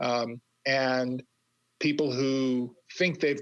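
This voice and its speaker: A man speaks in an ordinary speaking voice at a medium pitch. His intonation stays fairly even. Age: 60s. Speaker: career coach and author. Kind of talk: interview conversation.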